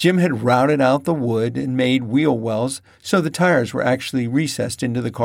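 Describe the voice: Someone reads a passage aloud plainly. No more than plain reading aloud is heard.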